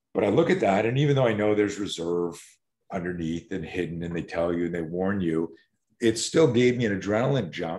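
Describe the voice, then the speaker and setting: A man talks fairly quickly in a normal speaking voice. His pitch is fairly low and his intonation lively. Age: 60s. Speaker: self-defense instructor. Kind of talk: interview.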